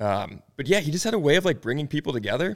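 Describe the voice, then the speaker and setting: The recording is very clean, with a silent background. A man talks at a very fast pace and a fairly high pitch. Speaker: guest, Cubs fan whose father held the K signs. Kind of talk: casual chat. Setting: studio.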